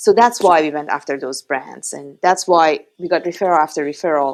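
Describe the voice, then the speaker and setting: A woman with a strong Iranian accent speaks at a fairly low pitch in a very clean recording with a silent background. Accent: heavy Iranian. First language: Persian. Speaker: startup founder. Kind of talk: podcast interview.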